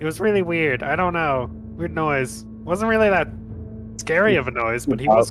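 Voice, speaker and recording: A man does a put-on character voice at a fairly high pitch. He goes at a moderate pace while music is clearly heard in the background. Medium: actual play. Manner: hesitant, stumbling.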